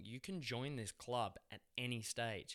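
With an Australian accent, a man speaks at a medium pitch with ordinary pitch variation. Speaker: actor. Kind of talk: casual chat.

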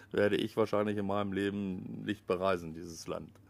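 At a moderate pace, a man speaks in a normal speaking voice, fairly low in pitch. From Lower Saxony, Germany (Pattensen near Hanover). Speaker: local politician and volunteer firefighter. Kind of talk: casual interview. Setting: outdoors in a garden.

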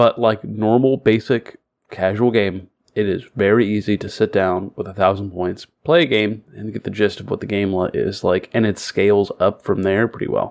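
A man with an American accent speaks in an ordinary speaking voice at a fairly low pitch. His pace is moderate and his intonation fairly even. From Florida. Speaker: podcast co-host. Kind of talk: casual chat.

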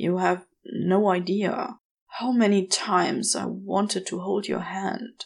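Mumbling in a put-on character voice, a woman speaks at medium pitch and a fairly slow pace. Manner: mumbling, shy, confessional.

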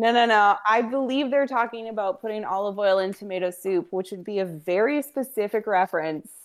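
With a quiet background, a woman talks at a fairly quick pace in an ordinary speaking voice. Her pitch is medium with ordinary pitch variation. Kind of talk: casual chat.

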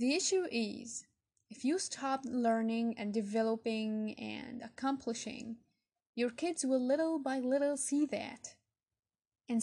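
A woman with a non-native accent speaks at a high pitch and a fairly slow pace. Her pitch varies in an ordinary way, and the recording is very clean with a silent background. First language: not English. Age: 20s. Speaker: motivational podcaster. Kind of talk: motivational monologue.

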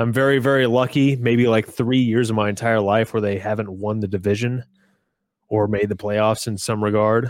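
In a very clean recording with a silent background, a man talks at a moderate pace. His medium-pitched voice stays monotone and flat. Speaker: baseball podcast co-host. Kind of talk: casual chat.

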